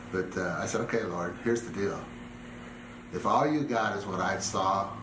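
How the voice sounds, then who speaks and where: With an American accent, a man speaks at a moderate pace amid noticeable background noise and audible room echo. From US West, Southern California. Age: 60s. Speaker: ministry leader. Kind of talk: testimony. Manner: emotional, halting.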